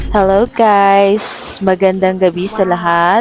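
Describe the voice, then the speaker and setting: The speaker has a Visayan accent. There is noticeable background noise. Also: woman. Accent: Bisaya accent in Tagalog. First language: Cebuano (Bisaya) (speaking Tagalog). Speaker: vlogger. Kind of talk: casual vlog voice-over.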